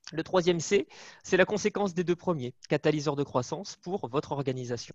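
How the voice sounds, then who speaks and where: A man talks at a moderate pace with fairly high pitch and ordinary pitch variation, the sound dry and close with no echo. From northern France. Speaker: management consultant. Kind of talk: webinar presentation. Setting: video call from home.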